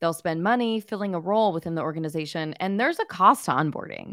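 Enthusiastic in tone, a woman speaks with an American accent in a very clean recording with a silent background. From California, Pasadena. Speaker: podcast host. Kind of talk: interview.

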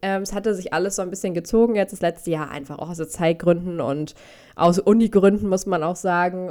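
A woman at a fairly low pitch and a very fast pace, in a very clean recording with a silent background. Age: 20s. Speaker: dog behaviour consultant in training. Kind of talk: casual chat.

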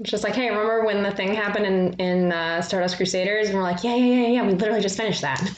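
With an American accent, a woman of medium pitch talks at a very fast pace with hardly any pauses and very even loudness. Noticeable background noise and audible room echo fill the recording. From US South. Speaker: podcast co-host. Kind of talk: casual chat.

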